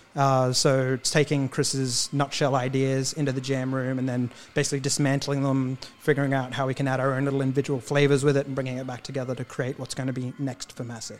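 A man's medium-pitched voice with an Australian accent, monotone and flat, very fast with hardly any pauses, over music in the background. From Australia, Queensland (Cairns). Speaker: musician. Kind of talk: casual chat.

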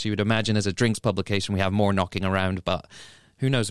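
The recording is very clean, with a silent background. On it, a man talks with an English accent. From England. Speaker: drinks magazine editor and podcast host. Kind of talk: casual chat.

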